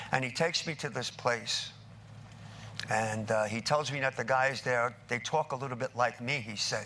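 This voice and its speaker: This man has an ordinary speaking voice with an American accent, a medium pitch and ordinary pitch variation. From New York, Brooklyn. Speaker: recovering addict speaker. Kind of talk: testimony.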